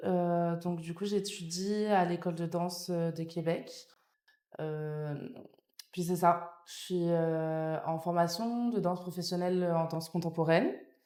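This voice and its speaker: A woman with a dark, mellow tone and fairly low pitch speaks very slowly in a flat monotone, with audible room echo. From France (born in Nice, later Paris). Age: 20s. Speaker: dance student. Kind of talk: podcast interview. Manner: hesitant, many fillers.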